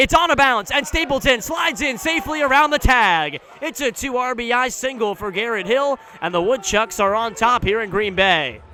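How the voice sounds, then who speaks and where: Amid noticeable background noise, a man with an extremely high pitch speaks in a raised, projected voice at a fairly quick pace, with lively intonation and hardly any pauses. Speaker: baseball radio play-by-play announcer. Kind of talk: live baseball radio play-by-play broadcast. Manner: fast, excited, building to a call at the key moment.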